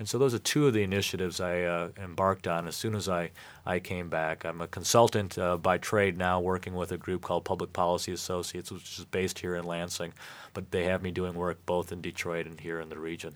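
Talking at a very fast pace, a man with an American accent uses a very deep, low pitch and fairly even intonation. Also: very clean recording, silent background. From Michigan. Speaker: former mayor. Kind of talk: radio interview.

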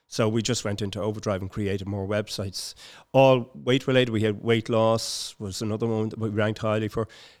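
A man with a Dublin accent talks at a fairly quick pace. His pitch is fairly low and his intonation fairly even. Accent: Dublin Irish. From Dublin, Ireland (Finglas). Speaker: community environmental campaigner. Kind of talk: casual interview. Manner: halting.

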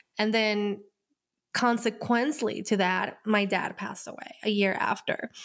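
A woman with a Spanish accent speaks at a fairly slow pace in a fairly high pitch, keeping her intonation fairly even. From Colombia. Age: 30s. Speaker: podcast host and healer. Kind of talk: personal storytelling monologue.

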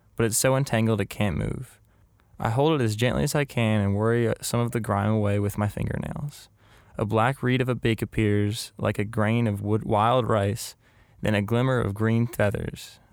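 A man's normal speaking voice at medium pitch and moderate pace, with fairly even intonation and very even loudness, on a very clean recording with a silent background. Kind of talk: literary short story reading. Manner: intimate, first-person storytelling.

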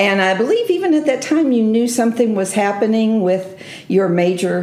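Lively intonation from a woman, with noticeable background noise. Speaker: bookstore host. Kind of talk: casual interview.

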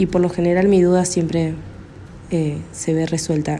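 This woman speaks at a moderate pace in a fairly low voice. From Argentina, Córdoba. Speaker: caller. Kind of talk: recorded voice message. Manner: hesitant, many fillers.

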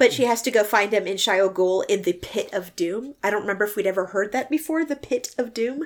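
With lively intonation, the speaker reads in a natural reading voice.

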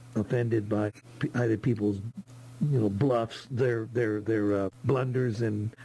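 Speaking with an American accent, a man has a medium pitch and a dark, mellow tone that is somewhat breathy. He goes at a fairly slow pace with fairly even intonation. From Texas. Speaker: listener caller. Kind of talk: casual book review. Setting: Zoom call. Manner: halting.

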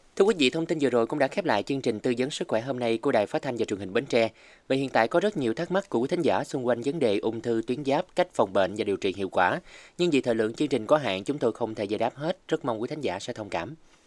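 Medium in pitch and lively in intonation, a man talks at a very fast pace with hardly any pauses, with a dry, close sound with no echo on a very clean recording with a silent background. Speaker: radio host. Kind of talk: scripted narration. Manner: formal.

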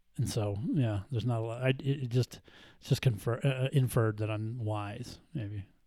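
A man's somewhat breathy voice of medium pitch, dark and mellow in tone, at a moderate pace with fairly even intonation. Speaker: trauma therapist. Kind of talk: casual chat. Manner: halting, hesitant.

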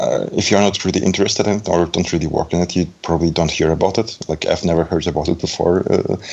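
A man speaks at a very fast pace with a very deep, low pitch, fairly even intonation and very even loudness, with noticeable background noise behind him. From Belarus, raised in Germany. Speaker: front-end developer. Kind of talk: casual chat. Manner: halting.

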